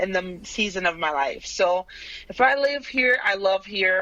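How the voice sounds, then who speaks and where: A woman with a Brazilian Portuguese accent. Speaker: painter. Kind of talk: interview.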